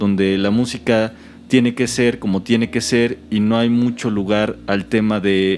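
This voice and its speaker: With a Mexican accent, a man speaks at medium pitch and a fairly slow pace. His intonation stays fairly even. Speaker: podcast host. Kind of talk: casual conversation.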